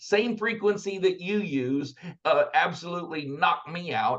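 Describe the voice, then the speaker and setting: A man with an American accent, high in pitch, with lively intonation. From Texas. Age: 50s. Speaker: entrepreneur, army veteran. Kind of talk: podcast guest conversation. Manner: animated, storytelling.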